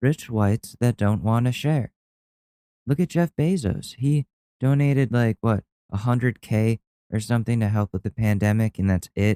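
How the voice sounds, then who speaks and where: A man with an American accent, medium pitch, dark, mellow tone, ordinary pitch variation, very even loudness and moderate pace, in a dry, close sound with no echo. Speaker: solo podcast host. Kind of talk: casual monologue.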